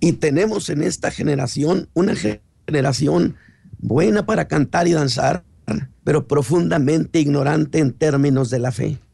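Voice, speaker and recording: The voice has a dark, mellow tone with vocal fry and lively intonation, holding very even loudness at a fairly slow pace. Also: man, fairly high pitch for a man. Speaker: pastor. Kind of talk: sermon.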